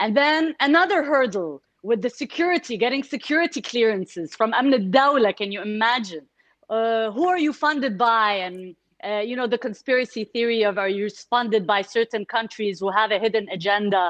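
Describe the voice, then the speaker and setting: In an Arabic accent, a woman speaks at a moderate pace with a fairly high pitch and lively intonation, in a dry, close recording with no echo and a quiet background. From Kuwait, Egyptian family. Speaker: entrepreneur, NGO founder. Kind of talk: casual interview.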